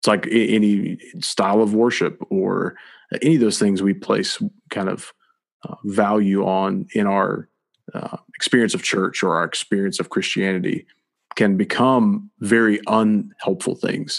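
In an American accent, a man with a normal speaking voice talks at a fairly slow pace, fairly low in pitch, with ordinary pitch variation. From US South. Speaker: podcast host, church staff. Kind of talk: casual religious discussion.

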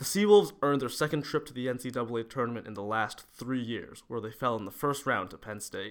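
An unremarkable speaking voice from a man at medium pitch, with hardly any pauses, lively intonation and big swings in loudness. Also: fairly quick pace. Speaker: sports editor. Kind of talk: scripted newsreading. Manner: brisk, polished sportscaster delivery.

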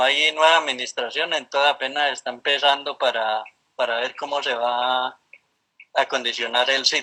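The speaker is a man. He talks at a moderate pace. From Colombia, Valle del Cauca (rural Cali). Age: 60s. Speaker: park ranger. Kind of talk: interview. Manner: halting, with frequent repetitions.

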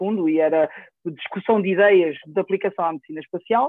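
A high-pitched man with a European Portuguese accent, ordinary pitch variation and a fairly quick pace. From Portugal, Coimbra. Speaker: neurosurgeon and professor. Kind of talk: casual interview. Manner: halting, many repeated words.

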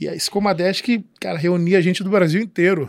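A man talks at a very fast pace in a high voice. The recording is very clean, with a silent background. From Rio de Janeiro, Baixada Fluminense (São João de Meriti). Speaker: pastor. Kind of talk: casual chat.

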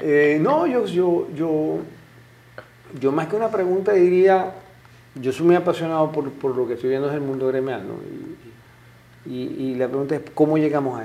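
Amid audible room echo, a man speaks at a fairly high pitch and moderate pace, with ordinary pitch variation and long, frequent pauses. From Zulia, Venezuela (eastern lake coast, Maracaibo). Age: 50s. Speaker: businessman, civil engineer. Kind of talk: interview.

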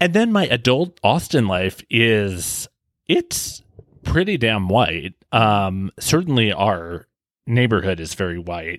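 Here a man with an American accent speaks at a very slow pace. His fairly low pitch makes very wide swings. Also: very clean recording, silent background. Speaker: podcast host. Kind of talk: casual conversational discussion. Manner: animated, chatty.

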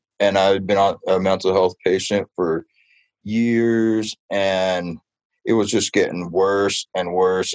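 A man speaks in a normal speaking voice, fairly low in pitch, at a fairly slow pace with fairly even intonation. The sound is dry and close, with no echo. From Southern California, Ventura County. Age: 30s. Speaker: street artist and muralist. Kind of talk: radio interview.

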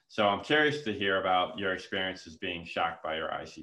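This man's pitch is very deep and low, with ordinary variation. He talks at a fairly quick pace. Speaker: podcast host and nonprofit founder. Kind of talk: interview.

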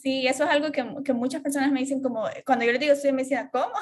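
With a high pitch, a woman speaks in fairly even intonation. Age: 20s. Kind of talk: casual chat.

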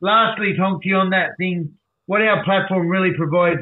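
The accent here is Australian. It belongs to a man. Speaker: recovery advocate. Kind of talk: casual interview storytelling. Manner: animated.

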